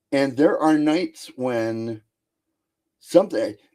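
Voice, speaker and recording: Speaking in a dark, mellow tone at a fairly slow pace, a man has a fairly high pitch. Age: 60s. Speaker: guest on paranormal chat show. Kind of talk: casual chat.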